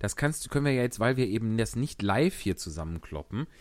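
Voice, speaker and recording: This very clean recording has a silent background. A man talks at medium pitch with very wide pitch swings. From Germany, Wuppertal. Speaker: actor and podcast host. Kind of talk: casual chat and reading aloud.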